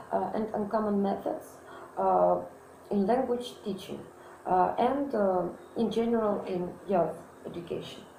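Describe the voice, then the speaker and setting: In a Russian accent, a woman speaks at a medium pitch. Audible room echo and noticeable background noise surround her voice. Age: 20s. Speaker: student. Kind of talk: self-introduction monologue. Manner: halting, many fillers.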